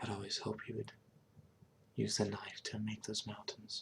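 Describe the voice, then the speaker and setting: This man's voice sits fairly low and is somewhat breathy. His intonation stays flat and monotone. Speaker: ASMR creator and Hearthstone player. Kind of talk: ASMR gameplay narration. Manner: whispering, soft-spoken.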